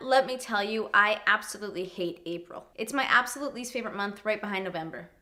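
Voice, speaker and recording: A woman talks at a very fast pace with hardly any pauses, her fairly high voice showing big swings in loudness. Noticeable background noise runs underneath. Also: ordinary pitch variation. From Canada. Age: young. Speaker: comedy YouTuber. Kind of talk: comedic rant to camera.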